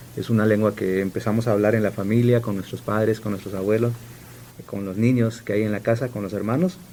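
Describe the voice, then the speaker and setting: In an Oaxacan accent, the speaker talks at a very fast pace with fairly even intonation over noticeable background noise. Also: man, fairly low pitch for a man. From Sierra Juárez, Oaxaca, Mexico (Zapotec village). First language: Zapotec (speaking Spanish). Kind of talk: radio interview.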